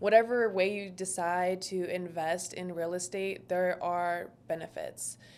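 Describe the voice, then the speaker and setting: A soft-spoken woman's medium-pitched, monotone, flat delivery, fairly slow with hardly any pauses and big swings in loudness. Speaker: short-term rental entrepreneur. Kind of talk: podcast interview.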